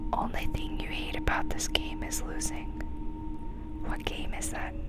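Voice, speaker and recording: A man at a moderate pace, dry sound with no echo, and loud background noise. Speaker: ASMR gaming content creator. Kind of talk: casual ASMR let's-play commentary to camera. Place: home room.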